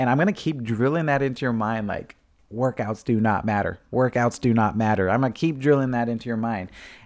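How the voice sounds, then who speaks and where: An unremarkable speaking voice from a man, medium in pitch with ordinary pitch variation, at a fairly quick pace, in a very clean recording with a silent background. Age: 30s. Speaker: fitness podcast host. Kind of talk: casual solo monologue. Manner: casual, with filler words and laughs.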